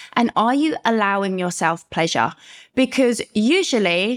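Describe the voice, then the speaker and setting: A London accent in an animated, enthusiastic tone, with very wide pitch swings, a fairly slow pace and very even loudness, in a dry, close sound with no echo and a very clean recording with a silent background. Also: woman. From London, UK. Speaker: guest, herpes advocate and coach. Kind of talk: casual interview chat.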